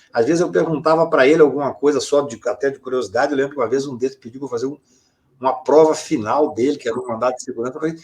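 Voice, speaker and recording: Very fast and fairly high-pitched, a man talks with big swings in loudness. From Brazil, Minas Gerais (Patos de Minas). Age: 60s. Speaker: lawyer. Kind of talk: interview conversation.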